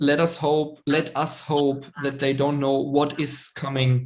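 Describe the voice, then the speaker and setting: A man speaks at a very slow pace in a fairly high pitch with a German accent. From Germany. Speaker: web series creator. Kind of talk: casual chat. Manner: hesitant, many ums.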